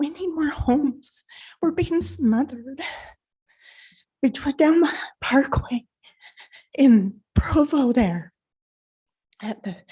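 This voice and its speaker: A woman speaks at a very slow pace with long, frequent pauses, using a high pitch, a dark, mellow tone, and lively intonation. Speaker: resident giving public comment. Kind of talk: public comment at city meeting.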